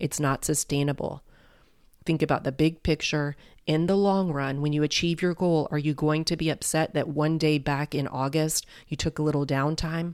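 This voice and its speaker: Her tone is warm, with monotone, flat intonation. The woman's loudness stays very even throughout. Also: moderate pace. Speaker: podcast host and life coach. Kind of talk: gentle motivational pep talk addressed directly to the listener. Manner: warm, reassuring, encouraging like a friendly cheerleader; casual and chatty with frequent filler words.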